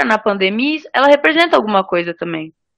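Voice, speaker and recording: This woman has a normal speaking voice at medium pitch. She talks at a fairly quick pace. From Espírito Santo, Brazil (Cariacica). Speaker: theatre podcast co-host. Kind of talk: casual chat.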